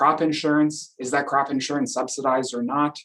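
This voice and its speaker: This man speaks with an Upper Midwest accent at a fairly high pitch. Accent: Upper Midwest (Minnesota). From Minnesota. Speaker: professor. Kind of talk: lecture.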